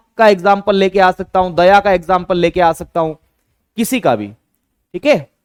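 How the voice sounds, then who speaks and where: This man's voice is high in pitch. He keeps a moderate pace. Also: dry, close sound with no echo. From Madhya Pradesh, India. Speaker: online exam teacher. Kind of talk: live online class lecture. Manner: animated.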